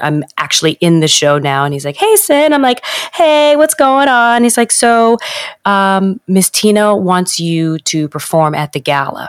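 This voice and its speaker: A woman in a New York accent, with very wide pitch swings and a dry, close sound with no echo. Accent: New York American. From New York, US. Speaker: Broadway performer. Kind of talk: casual interview chat.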